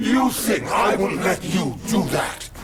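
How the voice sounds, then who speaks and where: A man shouting in a put-on character voice, high-pitched and fairly slow, over loud background noise. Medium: machinima. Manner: menacing, arrogant.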